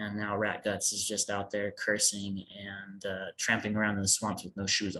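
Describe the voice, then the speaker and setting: Against a quiet background, a man with an unremarkable speaking voice and a fairly low pitch talks at a moderate pace with hardly any pauses. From United States. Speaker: fantasy author. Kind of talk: interview. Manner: casual, with filler words.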